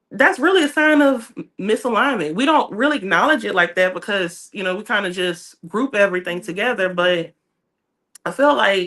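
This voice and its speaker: A woman's medium-pitched voice, bright and sharp in tone, with very wide pitch swings. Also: moderate pace. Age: 20s. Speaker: book club podcast co-host. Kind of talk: casual chat.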